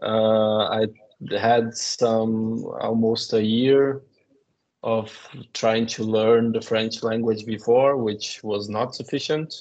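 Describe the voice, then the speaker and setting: A man with a Portuguese accent speaks at a medium pitch. His delivery is very slow, monotone and flat. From Brazil. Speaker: postdoctoral researcher. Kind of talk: testimony. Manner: halting.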